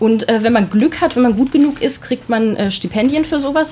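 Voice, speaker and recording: The voice carries lively intonation at a moderate pace, over noticeable background noise. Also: woman. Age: 30s. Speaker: photojournalist. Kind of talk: casual chat.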